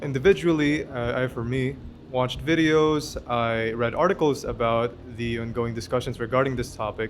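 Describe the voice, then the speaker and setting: Over background music, a man talks at a moderate pace and medium pitch with ordinary pitch variation. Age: 20s. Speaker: university student debater. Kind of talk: interview. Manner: halting.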